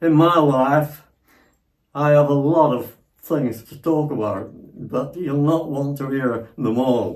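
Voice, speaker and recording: Speaking at a very slow pace with fairly even intonation, a man's voice carries audible room echo. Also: fairly high pitch for a man. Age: 90s. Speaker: elderly father-in-law. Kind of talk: casual chat. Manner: halting, repetitive.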